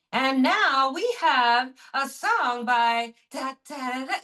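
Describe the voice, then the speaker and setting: A put-on character voice at a very slow pace, with ordinary pitch variation. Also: woman, high pitch for a woman. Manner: cheesy, exaggerated announcer delivery.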